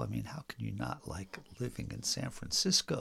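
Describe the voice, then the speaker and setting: A man with an American accent speaks at a moderate pace. Vocal fry runs through his voice. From north central Pennsylvania. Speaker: dance caller and dance historian. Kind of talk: casual interview chat. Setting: at his home.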